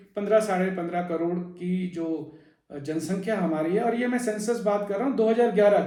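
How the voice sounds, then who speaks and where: A man's high-pitched voice with ordinary pitch variation and audible room echo. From Delhi, India (Uttarakhandi family). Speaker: video blogger / presenter. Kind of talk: informational talk. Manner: hesitant, frequent fillers.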